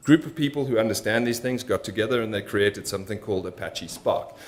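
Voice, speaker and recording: A man speaks at medium pitch with ordinary pitch variation. Audible room echo can be heard. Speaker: conference speaker, machine learning engineer. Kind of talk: conference talk. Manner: fast.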